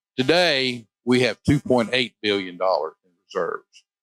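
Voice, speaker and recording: A man speaks with an Arkansas accent in a bright, sharp tone. The recording is very clean, with a silent background. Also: dry, close sound with no echo. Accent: Southern US (Arkansas). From US South, southern Arkansas. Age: 60s. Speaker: state legislator. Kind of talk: interview. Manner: halting, repeats words.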